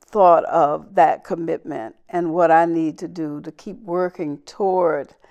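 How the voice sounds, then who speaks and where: In a quiet background, a woman with a fairly low pitch talks with fairly even intonation. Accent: Southern US. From US South, Southwest Georgia. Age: 70s. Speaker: civil rights leader. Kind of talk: interview.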